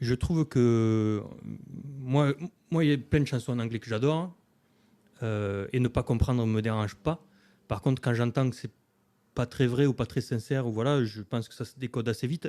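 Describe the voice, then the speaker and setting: With a dark, mellow tone and medium pitch, a man speaks at a moderate pace with ordinary pitch variation and long, frequent pauses in a dry, close sound with no echo. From southern France, Hérault. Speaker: singer-songwriter. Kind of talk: radio interview. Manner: hesitant, many fillers.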